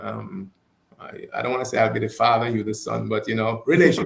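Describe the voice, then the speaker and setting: A man with a strong non-native accent speaks at a medium pitch. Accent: foreign accent, still strong. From abroad, foreign-born. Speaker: talk show guest. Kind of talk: casual chat. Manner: halting, repeats words.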